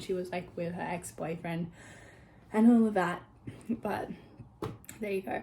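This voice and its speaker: A woman speaks with an Australian accent and fairly even intonation. Noticeable background noise runs behind her. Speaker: vlogger. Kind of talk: casual vlog chat. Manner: fast, chatty.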